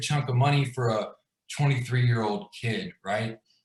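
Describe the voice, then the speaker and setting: A man with a medium-pitched, somewhat breathy voice speaks with fairly even intonation. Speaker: glass business owner telling his story. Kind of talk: personal story in a live video chat. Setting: video call livestream. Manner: casual, filler-heavy.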